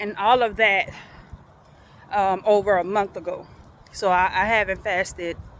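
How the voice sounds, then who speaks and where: Over noticeable background noise, a woman of medium pitch speaks fairly slowly with fairly even intonation. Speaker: vlogger. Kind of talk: casual vlog. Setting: outdoors walking in a park. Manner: halting.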